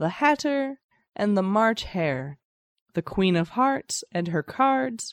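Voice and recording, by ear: Reading aloud in a natural voice, the background quiet.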